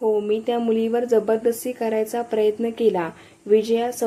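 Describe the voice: Reading aloud, plainly done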